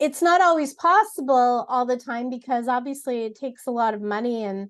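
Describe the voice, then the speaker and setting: This woman's voice sits high in pitch. She talks at a fairly quick pace with lively intonation. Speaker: voice actor and lifestyle blogger. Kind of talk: interview.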